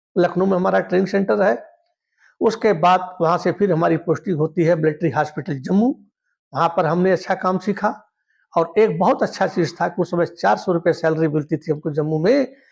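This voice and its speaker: A man with a high pitch speaks at very even loudness with ordinary pitch variation against a quiet background. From eastern Uttar Pradesh, India (Gorakhpur district). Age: 60s. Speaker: retired teacher and army medical veteran, YouTuber. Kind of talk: personal life story monologue.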